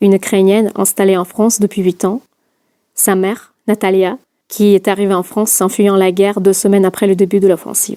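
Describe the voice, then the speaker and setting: In a Russian accent, a woman speaks at medium pitch and a fairly quick pace with a dark, mellow tone. Her intonation is monotone and flat, and the sound is dry and close with no echo. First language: Russian (speaking French). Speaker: podcast host. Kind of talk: scripted narration.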